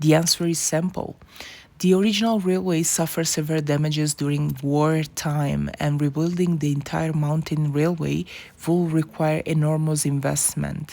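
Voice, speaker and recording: A woman with a non-native accent and a very deep, low voice, dark and mellow in tone, with fairly even intonation at a moderate pace. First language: not English. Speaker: travel vlogger. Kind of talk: travel documentary narration.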